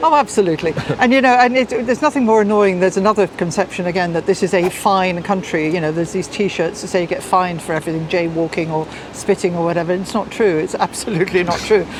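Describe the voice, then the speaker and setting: A woman with a British accent talks at a very fast pace in a medium pitch with ordinary pitch variation over noticeable background noise. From Britain. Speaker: tour guide. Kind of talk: interview answer.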